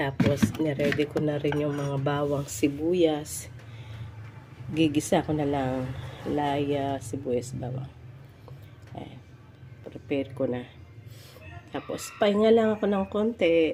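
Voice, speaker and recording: Very slowly and with long, frequent pauses, a woman speaks at a very deep, low pitch with lively intonation. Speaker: vlogger. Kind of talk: cooking vlog. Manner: casual, halting with fillers.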